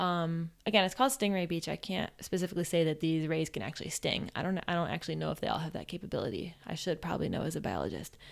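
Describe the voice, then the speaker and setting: A woman talks at a very fast pace with a fairly low pitch, ordinary pitch variation and vocal fry. The recording is very clean with a silent background. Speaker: travel podcast host. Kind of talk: casual solo travel storytelling.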